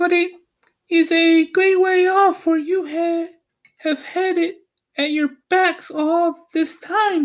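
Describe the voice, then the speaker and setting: Squeaky and in a put-on character voice, the speaker goes at a very slow pace with long, frequent pauses. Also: man, extremely high pitch for a man. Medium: read story. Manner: kindly, brisk.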